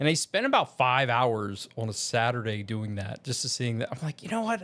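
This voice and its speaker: A man with an American accent speaks at medium pitch and a moderate pace, with ordinary pitch variation. The recording is very clean, with a silent background. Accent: Southern accent comes out in conversation. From Virginia, US South. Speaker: video creator and voiceover learner. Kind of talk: casual vlog talk to camera. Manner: hesitant, with fillers and restarts.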